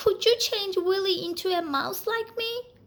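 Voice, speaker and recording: Squeaky and extremely high-pitched, a woman's put-on character voice comes through. The pace is moderate. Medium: read story.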